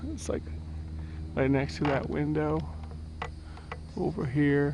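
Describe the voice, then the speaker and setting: A man speaks at a moderate pace with very wide pitch swings. Audible room echo and noticeable background noise surround him. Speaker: family vlogger exploring ruins. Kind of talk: casual walking tour narration. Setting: outdoors at plantation ruins.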